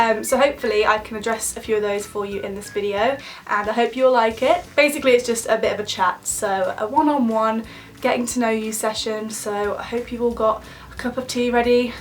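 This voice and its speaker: A woman speaks at a fairly quick pace with fairly even intonation over noticeable background noise. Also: fairly high pitch for a woman. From English Midlands. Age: 20s. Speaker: beauty and lifestyle vlogger. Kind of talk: casual chat to camera. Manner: chatty, casual.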